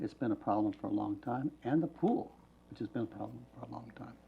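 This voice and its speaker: With an American accent, this voice proceeds at a moderate pace. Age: 60s. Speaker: city council member. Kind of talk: public meeting remarks.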